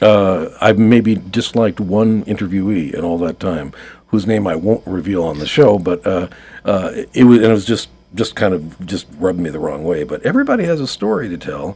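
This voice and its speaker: A man with a fairly low pitch and a dark, mellow tone speaks at a moderate pace with ordinary pitch variation. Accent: American. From New York. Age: 60s. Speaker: writer and marketing consultant. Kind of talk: radio interview. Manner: hesitant, many fillers.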